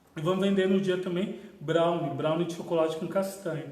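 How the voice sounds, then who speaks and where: With audible room echo and noticeable background noise, a man talks in a high pitch with fairly even intonation. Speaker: spiritist center host. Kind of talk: livestream announcements. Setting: Facebook livestream.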